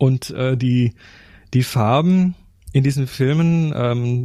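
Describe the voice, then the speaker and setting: There is a somewhat breathy quality to this man's medium-pitched voice. His pitch variation is ordinary. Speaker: photography podcast co-host. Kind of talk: casual chat.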